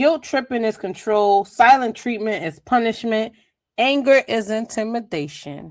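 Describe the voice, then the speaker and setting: Lively intonation and an animated tone at a fairly slow pace, on a very clean recording with a silent background. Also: woman, fairly high pitch for a woman. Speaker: podcast host. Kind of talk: motivational monologue. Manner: sing-song at times.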